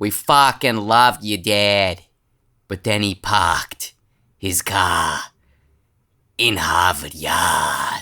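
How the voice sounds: A man puts on a raspy character voice in a Boston accent, fairly low in pitch, at a very slow pace with long, frequent pauses, on a very clean recording with a silent background.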